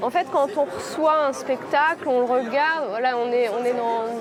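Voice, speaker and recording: Over crowd noise in the background, a woman with a high pitch speaks at a fairly slow pace with ordinary pitch variation. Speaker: image whisperer who describes theatre performances to a blind spectator. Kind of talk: interview answer explaining her work. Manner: hesitant, reflective, conversational.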